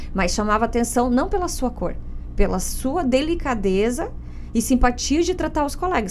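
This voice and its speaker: Woman with a Paraná accent, moderate pace and lively intonation, amid audible room echo and noticeable background noise. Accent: Paraná interior. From interior of Paraná, Brazil. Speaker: lawyer and podcast host. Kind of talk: podcast interview.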